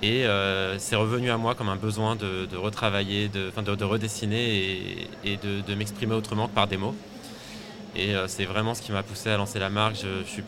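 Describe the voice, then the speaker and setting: A man's fairly low, flat, monotone voice at a fairly quick pace over noticeable background noise. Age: 30s. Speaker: fashion designer, t-shirt brand founder. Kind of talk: interview. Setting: live at a trade fair stand.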